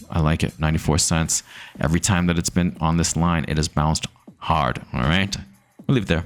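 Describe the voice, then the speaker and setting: Using a very deep, low pitch and vocal fry, a man with an American accent talks at a fairly quick pace. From US Northeast, Massachusetts. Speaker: crypto YouTuber. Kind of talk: market analysis vlog. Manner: casual, repetitive with false starts; animated.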